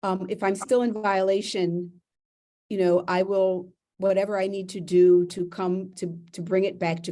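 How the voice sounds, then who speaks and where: A woman talks at a moderate pace and a medium pitch. Her tone is dark and mellow, her intonation monotone and flat. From Philadelphia. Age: 60s. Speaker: property owner appellant. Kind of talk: testimony at hearing.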